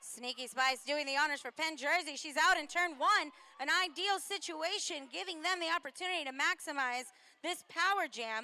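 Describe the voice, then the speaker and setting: Against noticeable background noise, a woman uses a raised, projected voice at a high pitch. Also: ordinary pitch variation, moderate pace. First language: not English. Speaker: roller derby commentator. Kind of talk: live commentary.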